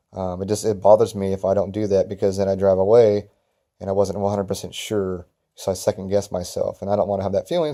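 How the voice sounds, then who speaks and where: With an American accent, a man talks at a very fast pace in a fairly low, dark, mellow voice, his intonation monotone and flat, on a very clean recording with a silent background. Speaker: lawn care business owner. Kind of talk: casual vlog talk. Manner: hesitant, many fillers.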